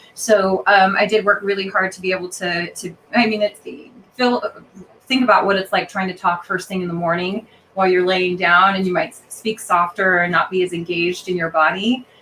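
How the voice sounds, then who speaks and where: A woman at a fairly quick pace, fairly even in intonation, with noticeable background noise. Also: medium pitch for a woman. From Colorado. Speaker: actress and opera singer. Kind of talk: interview. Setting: live podcast. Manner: hesitant, many fillers.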